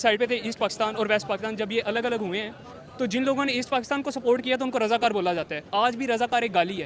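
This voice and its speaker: Against noticeable background noise, a man with an extremely high pitch speaks with fairly even intonation. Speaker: student. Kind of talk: street interview. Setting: outdoors in a market.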